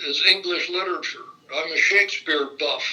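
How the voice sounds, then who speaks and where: A man with a Midwestern American accent at a moderate pace, against noticeable background noise. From Indiana, Fort Wayne. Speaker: retired state legislator. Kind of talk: oral history interview. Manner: halting, many fillers and repetitions.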